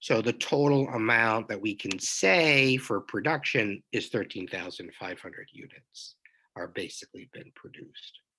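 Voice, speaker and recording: A man at medium pitch speaks at a moderate pace with lively intonation. His tone is bright and sharp, and his loudness swings widely. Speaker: college accounting instructor. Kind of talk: lecture. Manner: casual, with hesitations.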